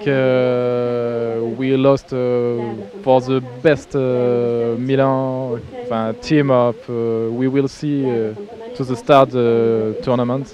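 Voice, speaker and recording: Over noticeable background noise, a man with a French accent and medium pitch speaks at a very slow pace in a monotone, flat intonation. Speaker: youth football head coach. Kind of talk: post-match interview. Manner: halting.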